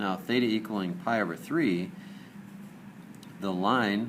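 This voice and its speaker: With audible room echo, a man speaks at a fairly slow pace in a fairly low pitch with ordinary pitch variation. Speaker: math teacher. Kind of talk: lecture.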